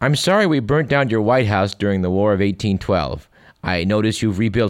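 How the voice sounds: A natural reading voice carries the clip.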